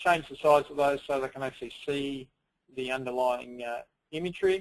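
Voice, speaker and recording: A man in an Australian accent with ordinary pitch variation. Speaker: software product presenter. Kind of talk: webinar software demo. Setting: webinar, screen share. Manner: fast.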